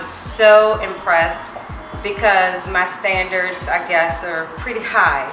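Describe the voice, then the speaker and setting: A woman at a fairly slow pace with ordinary pitch variation, clear music behind her and audible room echo. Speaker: customer giving a review. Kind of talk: testimonial. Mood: warm, enthusiastic.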